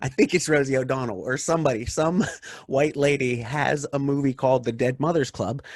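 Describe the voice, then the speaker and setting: The speaker uses a normal speaking voice. Delivery is at a fairly quick pace with ordinary pitch variation. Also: man, fairly high pitch for a man. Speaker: stand-up comedian. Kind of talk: casual chat.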